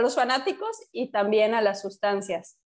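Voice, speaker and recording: Against a silent background, this very clean recording captures a woman. Her fairly high voice keeps a fairly even intonation. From Mexico, Yucatán (Mérida). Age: 30s. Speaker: podcast co-host. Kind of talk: casual chat.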